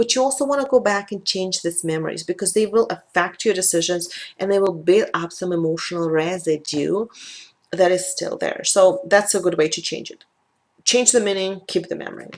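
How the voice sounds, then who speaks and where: A woman with a Russian accent talks at a fairly quick pace at medium pitch, with ordinary pitch variation and big swings in loudness. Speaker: life coach and tapping practitioner. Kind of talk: talking-head video.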